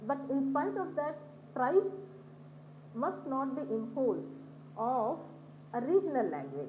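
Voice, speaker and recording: With audible room echo, a woman speaks at a fairly slow pace, leaving long, frequent pauses. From Telangana, India. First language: Banjara. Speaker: conference speaker. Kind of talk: conference talk with slides.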